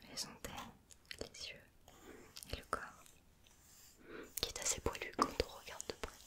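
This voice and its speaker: A woman is whispering. Her speech has long, frequent pauses. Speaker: ASMR creator. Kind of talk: ASMR magazine page flipping. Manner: whispered; slow, soft-spoken. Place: home room.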